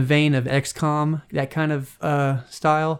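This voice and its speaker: With a slight Southern US accent, a man talks fairly slowly in a flat monotone. The recording is very clean, with a silent background. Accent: slight Southern US twang. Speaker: podcast host. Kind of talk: casual solo commentary. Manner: casual, lots of filler words.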